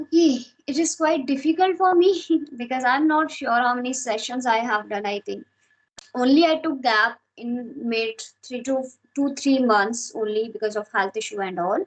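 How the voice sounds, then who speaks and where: Speaking with an Indian accent, a woman has a high pitch and lively intonation. Her pace is moderate. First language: Hindi. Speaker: English learner. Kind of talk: casual chat.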